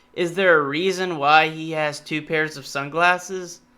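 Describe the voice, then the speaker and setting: In an American accent, the voice has a bright, sharp tone and moves at a fairly slow pace. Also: man. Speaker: YouTube reaction creator. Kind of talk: reaction video commentary. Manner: casual, halting with repetitions.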